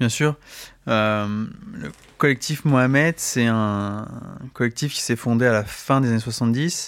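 Ordinary pitch variation comes across on a very clean recording with a silent background. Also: man. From France, Saint-Denis. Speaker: film festival programmer. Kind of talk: radio interview. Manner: hesitant, many fillers.

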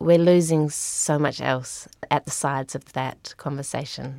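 In a dry, close recording with no echo and a silent background, a woman with an Australian accent speaks at a fairly slow pace in a very deep, low voice with fairly even intonation. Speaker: climate adaptation engagement worker. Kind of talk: podcast interview.

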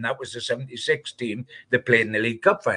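Here a man talks with a Geordie accent at a fairly quick pace. His tone is bright and sharp, and the sound is dry and close with no echo. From northern England. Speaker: football journalist. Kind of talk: casual chat.

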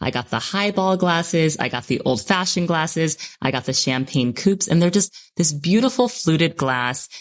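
With an American accent, a woman speaks at a fairly low pitch using very wide pitch swings. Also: moderate pace. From US Northeast, New York City. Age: 30s. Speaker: podcast host. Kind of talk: casual interview chat.

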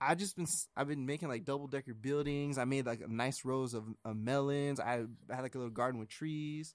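A man talks in a normal speaking voice at a medium pitch, fairly quick in pace with ordinary pitch variation. He hardly pauses, and the recording is very clean with a silent background. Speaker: gaming podcast co-host. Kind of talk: casual chat.

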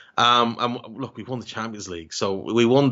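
Fairly even intonation from a man at a moderate pace. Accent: Irish. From Ireland. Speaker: football podcaster. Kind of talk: casual chat.

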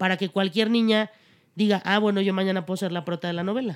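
A woman with an ordinary speaking voice, medium-pitched, at a fairly quick pace with fairly even intonation, on a very clean recording against a silent background. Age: 30s. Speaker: actress. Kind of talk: casual chat.

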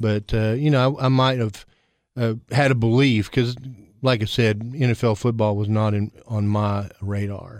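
A man speaks in a Tennessee accent at medium pitch and a moderate pace. His intonation is fairly even, and the recording is very clean, with a silent background. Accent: Tennessee Southern US. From Tennessee, Cookeville. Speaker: school district director. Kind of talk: casual interview.

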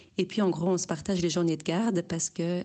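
A woman talks at a moderate pace with fairly even intonation. Her pitch is fairly low. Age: 30s. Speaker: listener sending a voice message. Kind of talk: voice message testimony.

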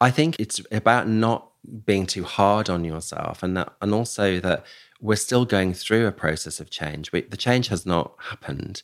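On a very clean recording with a silent background, a man with a British accent talks at a moderate pace. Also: fairly low pitch for a man, ordinary pitch variation. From UK. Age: 50s. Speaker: executive search firm founder. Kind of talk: interview conversation. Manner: halting, frequent repetitions.

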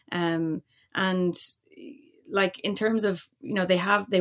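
In a Dublin accent, a woman with fairly low pitch speaks at a moderate pace. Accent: Irish (Dublin). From Ireland, Dublin. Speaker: former Olympic hockey player and motorsport engineer. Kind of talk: podcast interview.

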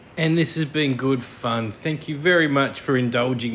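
A man with an Australian accent speaks at a medium pitch and a fairly slow pace. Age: 40s. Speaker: podcast host. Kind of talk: casual chat.

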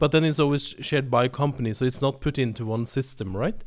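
A man with a Norwegian accent talks at a fairly quick pace with ordinary pitch variation on a very clean recording with a silent background. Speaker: podcast host for a business sustainability network. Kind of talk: interview podcast. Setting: studio.

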